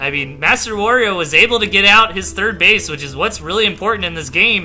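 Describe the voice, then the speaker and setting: Music plays in the background as a man talks at a fairly quick pace. His voice is raised and projected, with an American accent. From Southern United States. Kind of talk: casual game commentary.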